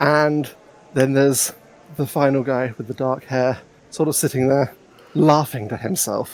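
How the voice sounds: A natural reading voice, start to finish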